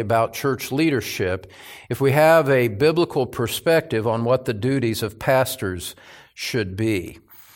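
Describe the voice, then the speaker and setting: A man speaks at a moderate pace in an unremarkable speaking voice. His pitch is medium, with ordinary variation. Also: very clean recording, silent background. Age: 60s. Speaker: pastor. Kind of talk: sermon. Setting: church.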